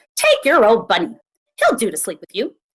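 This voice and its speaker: In a put-on character voice, a woman speaks at a fairly high pitch and a fairly quick pace. Her loudness swings widely. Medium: read story.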